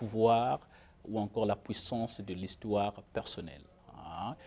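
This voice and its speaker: A man's fairly low voice with a dark, mellow tone. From Republic of the Congo. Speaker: author. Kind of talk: interview. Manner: halting.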